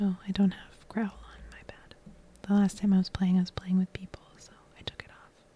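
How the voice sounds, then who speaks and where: Over noticeable background noise, a woman talks at a fairly quick pace in a medium pitch with monotone, flat intonation. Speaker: ASMR gameplay creator. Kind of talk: soft-spoken ASMR gameplay commentary. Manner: soft-spoken, relaxing.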